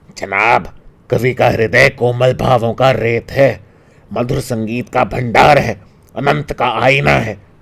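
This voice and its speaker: A man's put-on character voice at a medium pitch, fairly slow, with ordinary pitch variation. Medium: read story.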